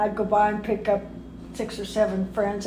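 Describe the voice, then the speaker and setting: In an American accent, the speaker talks at a moderate pace with audible room echo and noticeable background noise. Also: woman. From California, US West Coast (Compton). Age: 90s. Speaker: retired racing driver. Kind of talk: personal reminiscence interview.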